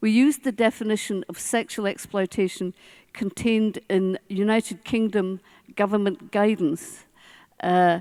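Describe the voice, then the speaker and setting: In a very clean recording with a silent background and a dry, close sound with no echo, a woman with a Scottish accent speaks fairly slowly at a medium pitch in a dark, mellow tone with ordinary pitch variation. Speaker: social work professor and inquiry author. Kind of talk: conference keynote speech. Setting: conference stage with audience. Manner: slow, carefully pronounced.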